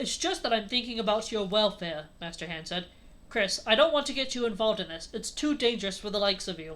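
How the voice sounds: Lively intonation in a natural reading voice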